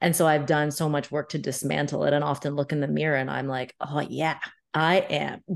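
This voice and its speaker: Talking at a fairly quick pace, a woman has a very deep, low pitch with vocal fry. Her intonation is monotone and flat. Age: 30s. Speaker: life and business coach. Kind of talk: casual chat.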